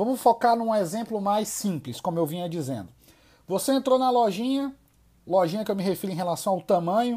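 This man's high voice makes very wide pitch swings as he talks at a moderate pace. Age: 30s. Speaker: sales trainer and podcast host. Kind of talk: solo podcast monologue.

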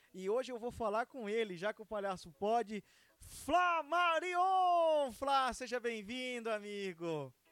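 Extremely high-pitched, a man speaks at a very slow pace with very wide pitch swings. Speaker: podcast host. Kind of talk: casual interview.

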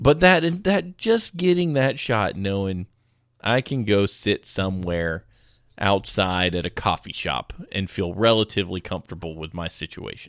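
A plain, everyday voice from a fairly low-pitched man, lively intonation, moderate pace, dry and close with no echo, very clean recording, silent background. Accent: American. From US South. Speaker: podcast host. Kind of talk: casual chat.

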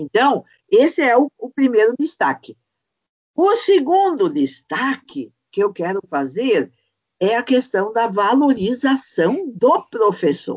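A woman speaks very slowly at a high pitch, her voice moving through very wide pitch swings. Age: 60s. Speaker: university professor. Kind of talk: podcast discussion.

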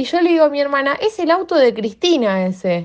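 Her voice is high-pitched with very wide pitch swings as this woman talks at a fairly quick pace. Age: 20s. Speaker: fan and political activist. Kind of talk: personal testimony.

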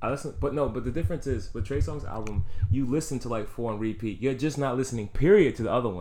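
Speaking at a very fast pace, a man with a medium pitch and a dark, mellow tone uses lively intonation. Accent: New York. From New York City, the Bronx. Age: 20s. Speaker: music and sports podcast co-host. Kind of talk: casual chat.

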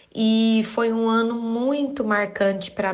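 Very slow speech from a woman, fairly high in pitch, with fairly even intonation. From Uberaba, Minas Gerais, Brazil. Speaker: dance teacher. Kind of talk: recorded personal testimony.

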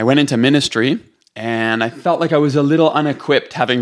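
Speaking at a fairly quick pace with fairly even intonation, a man with a Canadian accent has an unremarkable speaking voice. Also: very clean recording, silent background. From Canada, Toronto. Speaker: pastor and author. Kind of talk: podcast interview.

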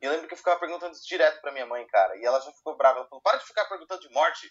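This man speaks at a very fast pace with a fairly high pitch, very wide pitch swings and big swings in loudness. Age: 20s. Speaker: podcast co-host. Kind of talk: casual chat.

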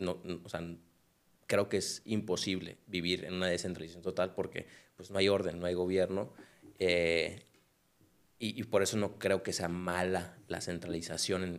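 A man with a very deep, low pitch and monotone, flat intonation, long, frequent pauses, on a very clean recording with a silent background. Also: fairly slow pace. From Mexico, Culiacán (Sinaloa). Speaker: compliance lawyer. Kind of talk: casual chat.

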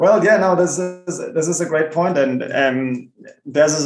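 In a German accent, a man speaks fairly slowly at a fairly high pitch with fairly even intonation. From Germany. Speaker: bitcoin entrepreneur. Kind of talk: interview. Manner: halting, repeats words.

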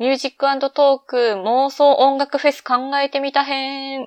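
A woman speaks at a high pitch against a quiet background. The sound is dry and close, with no echo. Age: 20s. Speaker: podcast host. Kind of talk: solo casual podcast talk. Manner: relaxed, laid-back.

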